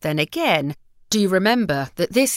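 On a very clean recording with a silent background, a woman's voice moves through very wide pitch swings. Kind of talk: reading aloud.

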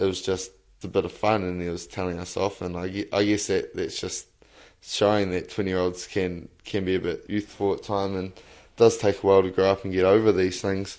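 Against a quiet background, a man with a New Zealand accent talks at a fairly quick pace, fairly low in pitch and monotone, with flat intonation. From New Zealand, Lower Hutt. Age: 20s. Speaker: young interviewee. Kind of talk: interview.

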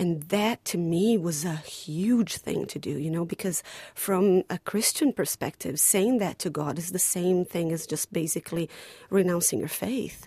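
Speaking at a fairly slow pace, a woman has a dark, mellow tone and a fairly low pitch with ordinary pitch variation. The sound is dry and close, with no echo. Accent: Portuguese. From Brazil. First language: Portuguese. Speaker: playwright. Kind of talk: interview.

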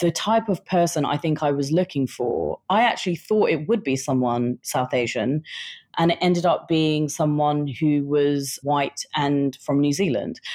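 A woman with a British accent and a very deep, low voice speaks at a fairly slow pace with very even loudness. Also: ordinary pitch variation. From England, British Indian family. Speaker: writer. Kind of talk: interview.

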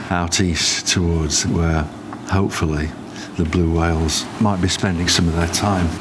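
A man with a very deep, low voice speaks at a fairly slow pace in a flat monotone. His loudness stays very even, and noticeable background noise runs underneath. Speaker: wildlife sound recordist. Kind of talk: nature documentary narration, first-person travel diary. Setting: outdoors on a boat. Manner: calm, measured, descriptive.

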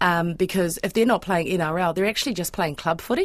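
A woman with a New Zealand accent and fairly even intonation. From Auckland, New Zealand. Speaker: freelance sports broadcaster. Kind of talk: casual chat.

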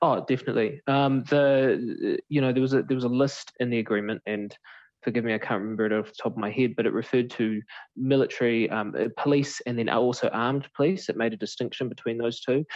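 A man with a New Zealand accent talks at a very fast pace. His pitch is medium and his intonation fairly even. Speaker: political reporter. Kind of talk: interview. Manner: hesitant, many fillers.

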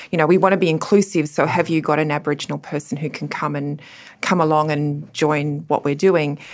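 A woman in an Australian accent speaks at a fairly quick pace with a very deep, low pitch and fairly even intonation, on a very clean recording with a silent background. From Australia, Cooma and Sydney. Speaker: law professor. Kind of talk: panel discussion.

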